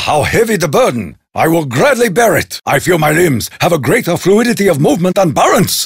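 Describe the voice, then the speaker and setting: The speaker is a man using a put-on character voice. It sits fairly high in pitch. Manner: formal, solemn.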